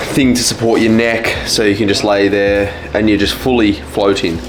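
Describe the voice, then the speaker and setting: A man with an Australian accent, fairly low-pitched and fairly even in intonation at a moderate pace, with audible room echo and music in the background. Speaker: vlogger, natural bodybuilder. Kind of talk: casual vlog.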